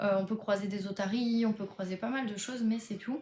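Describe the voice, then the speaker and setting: Noticeable background noise runs behind a woman's voice. Her pitch is fairly high and her intonation fairly even. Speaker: book vlogger. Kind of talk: casual vlog. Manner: hesitant, many fillers.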